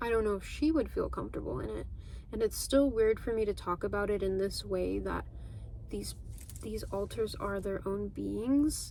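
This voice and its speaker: A woman speaks at a moderate pace. Room echo can be heard. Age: 20s. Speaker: vlogger. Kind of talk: casual chat. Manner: monotone; low energy.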